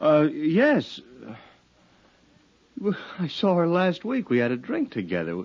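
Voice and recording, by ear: In a put-on character voice, a man speaks slowly at a fairly high pitch with very wide pitch swings and a slightly mellow tone.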